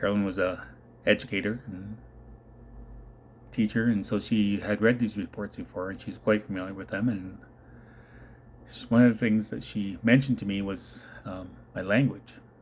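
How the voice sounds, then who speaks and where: A man with a Canadian accent and a fairly low pitch keeps a moderate pace and fairly even intonation, with long, frequent pauses. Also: very clean recording, silent background. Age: 50s. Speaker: mental health vlogger, adoption survivor. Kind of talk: personal testimony. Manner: quiet, low confidence; halting. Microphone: second take; first computer recording sounded bad.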